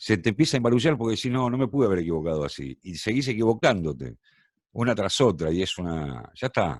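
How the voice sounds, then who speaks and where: An ordinary speaking voice moves at a fairly quick pace with lively intonation, in a dry, close sound with no echo. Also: man. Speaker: radio and TV announcer, tango singer. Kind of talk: casual interview answer, anecdotes.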